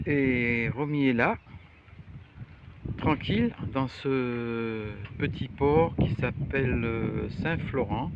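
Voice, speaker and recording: A man speaks at a very slow pace in a medium pitch, with fairly even intonation. Long, frequent pauses break up his speech over noticeable background noise. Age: 80s+. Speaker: retired amateur sailor. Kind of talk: casual video diary. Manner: hesitant, halting.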